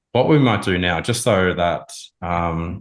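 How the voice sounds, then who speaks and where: A man with a strong Australian accent and a very deep, low pitch speaks at a very slow pace with ordinary pitch variation. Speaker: marketing consultant advising a client. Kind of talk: informal. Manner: casual, conversational, many filler words.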